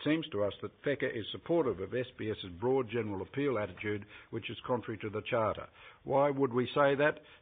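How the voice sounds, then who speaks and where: Here is a man with an Australian accent. His pitch sits in the medium range. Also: ordinary pitch variation, fairly quick pace. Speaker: advocacy group representative. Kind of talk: formal opening statement at hearing. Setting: parliamentary committee hearing. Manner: fast.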